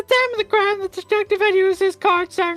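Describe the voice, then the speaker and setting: A woman's squeaky, put-on character voice at a very fast pace, with faint music in the background. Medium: game stream. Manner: deferential, ending lines with 'sir'.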